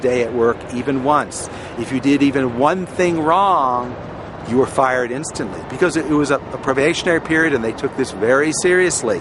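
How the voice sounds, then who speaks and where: A man's medium-pitched voice amid noticeable background noise. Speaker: former airline baggage handler. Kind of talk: casual talk to camera, personal oral history. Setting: outdoors.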